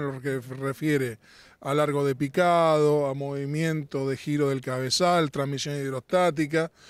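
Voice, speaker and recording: A man's voice comes through with a dry sound with no echo against a quiet background. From Argentina. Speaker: farm machinery sales representative; sales representative. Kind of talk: trade show interview. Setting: trade exhibition. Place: open country. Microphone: handheld.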